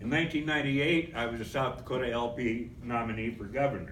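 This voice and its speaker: A man at medium pitch and moderate pace, with audible room echo and noticeable background noise. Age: 70s. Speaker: political activist. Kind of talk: convention speech.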